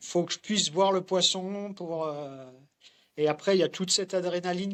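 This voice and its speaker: A man with a high voice speaks at a fairly slow pace and fairly even intonation on a very clean recording with a silent background. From France, Morvan (Burgundy). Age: 40s. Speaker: fly fisherman. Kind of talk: casual interview. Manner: hesitant, many fillers.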